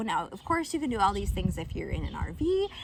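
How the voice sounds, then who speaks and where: A woman speaks over noticeable background noise. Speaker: homeschool vlogger. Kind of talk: casual tutorial.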